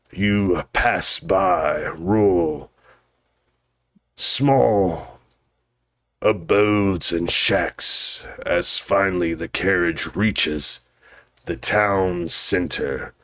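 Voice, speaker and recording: Raspy speech moves at a very slow pace, broken by long, frequent pauses. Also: man, fairly low pitch for a man, ordinary pitch variation. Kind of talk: gothic horror narration. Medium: actual play. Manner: solemn, portentous.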